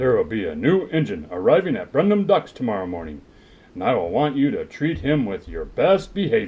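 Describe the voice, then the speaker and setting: A man puts on a cartoonish character voice at a fairly high pitch. He moves at a fairly quick pace. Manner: formal, authoritative.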